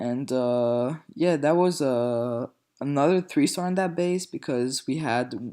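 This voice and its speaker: There is a man with a French accent and a fairly high, dark, mellow voice. He speaks at a fairly slow pace on a very clean recording with a silent background. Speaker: gaming video commentator. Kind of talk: gameplay commentary. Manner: hesitant, many fillers.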